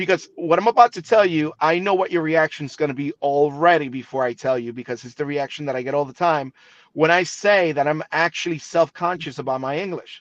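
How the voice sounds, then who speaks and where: The speaker has a slight Spanish accent and ordinary pitch variation. There are hardly any pauses. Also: man, fairly high pitch for a man, fairly quick pace, dry, close sound with no echo. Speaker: TV broadcaster. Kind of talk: interview.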